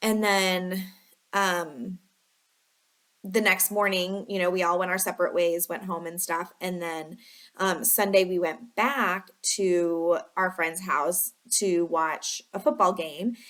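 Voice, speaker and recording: At a very slow pace, a woman with a Chicago accent speaks at medium pitch. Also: ordinary pitch variation. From Chicago area, US Midwest. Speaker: lifestyle vlogger. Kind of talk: casual storytelling. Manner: filler-heavy, chatty (um, like, you know).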